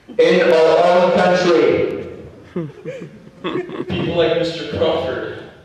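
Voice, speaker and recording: A man's high-pitched, monotone, flat voice over noticeable background noise. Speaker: slam poet. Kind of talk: slam poetry performance. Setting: high school classroom or hall. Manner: rhythmic.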